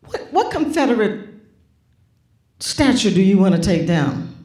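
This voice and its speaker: Very wide pitch swings from a woman at a fairly slow pace, with audible room echo. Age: 70s. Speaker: graphic designer and author. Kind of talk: onstage conversation. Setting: auditorium with audience. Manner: animated.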